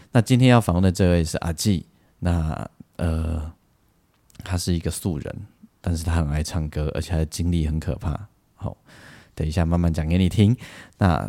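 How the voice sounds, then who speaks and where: With a very deep, low pitch and a dark, mellow tone, a man speaks at a moderate pace with ordinary pitch variation. He leaves long, frequent pauses. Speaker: podcast host and Taiwanese-language songwriter, arranger. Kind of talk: casual interview. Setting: remote interview.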